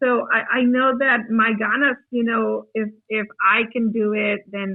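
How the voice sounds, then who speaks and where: Her intonation fairly even, a woman talks at a fairly slow pace. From Mexico, moved to US in second grade. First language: Spanish. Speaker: teacher and mentor. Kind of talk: podcast interview.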